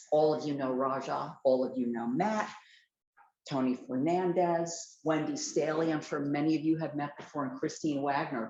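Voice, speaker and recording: The intonation stays fairly even. Room echo is audible. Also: woman, very deep, low pitch for a woman, moderate pace. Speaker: college administrator. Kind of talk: welcome remarks. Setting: hybrid meeting in person and on video call. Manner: loud. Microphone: no microphone.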